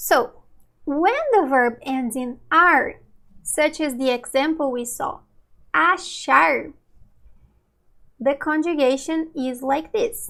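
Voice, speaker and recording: A woman with a Brazilian Portuguese accent, high-pitched, with a bright, sharp tone and lively intonation, at a very slow pace with long, frequent pauses. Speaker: Portuguese language teacher. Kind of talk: live online lesson. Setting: livestream. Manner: slow, clear teaching pace.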